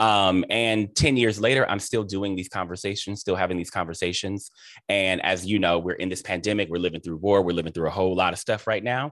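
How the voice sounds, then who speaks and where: A fairly quick-paced man with an American accent and a very deep, low voice, in a dry sound with no echo. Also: quiet background. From Cleveland, Ohio; Ohio. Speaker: interview host and theater director; host interviewer. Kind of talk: interview. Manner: animated. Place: home room. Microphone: video call.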